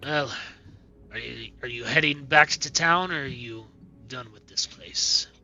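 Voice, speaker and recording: A man uses a raspy, put-on character voice at a medium pitch and a moderate pace. He leaves long, frequent pauses while clear music plays in the background. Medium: actual play. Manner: weary, hesitant, sighing.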